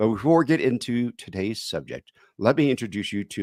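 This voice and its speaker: A man with an American accent at a moderate pace, very wide pitch swings, and a dry, close sound with no echo. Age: 60s. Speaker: financial radio show host. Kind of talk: radio show intro and casual chat.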